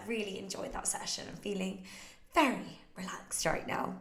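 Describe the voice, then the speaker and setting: At a fairly quick pace, the talking carries audible room echo over noticeable background noise. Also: woman. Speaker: fitness coach. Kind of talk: Q&A livestream. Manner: casual.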